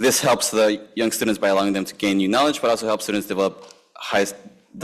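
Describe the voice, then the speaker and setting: Very fast pace and fairly low pitch from a man. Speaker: substitute teacher and program coordinator. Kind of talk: public comment reading prepared statement. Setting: school board meeting. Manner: halting.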